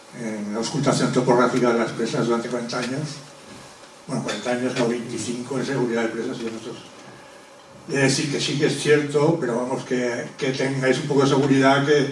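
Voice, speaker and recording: A man speaks at a fairly quick pace in a medium pitch with monotone, flat intonation. The room echo is audible and background noise is noticeable. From Zaragoza, Spain. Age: 60s. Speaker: audience member at public talk, retired dam safety worker. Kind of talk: audience comment at public talk. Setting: public talk with audience. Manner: halting.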